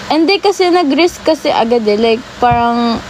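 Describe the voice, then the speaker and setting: Noticeable background noise runs under a woman talking fairly quickly. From Japan (Filipino). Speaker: TikTok live streamer. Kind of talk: casual chat. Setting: live stream.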